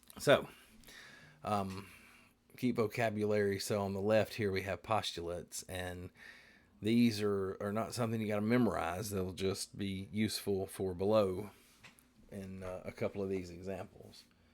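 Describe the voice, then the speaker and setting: In a very clean recording with a silent background, a man with an American accent speaks at a moderate pace and fairly low pitch, his intonation monotone and flat, with long, frequent pauses. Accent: Southern twang, stronger than usual. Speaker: high school math teacher. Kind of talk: lecture. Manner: casual, hesitant with fillers.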